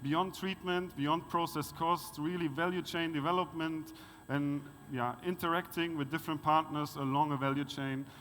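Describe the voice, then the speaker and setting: At a moderate pace, a man speaks with a German accent and fairly even intonation. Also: fairly high pitch for a man. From Germany. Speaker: conference speaker on wastewater resource recovery. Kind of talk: conference presentation. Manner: halting, many fillers.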